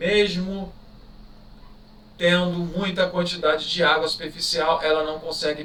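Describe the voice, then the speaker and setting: Amid audible room echo, a man speaks at a fairly slow pace with monotone, flat intonation. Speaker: teacher. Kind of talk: exam review lecture. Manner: casual, conversational.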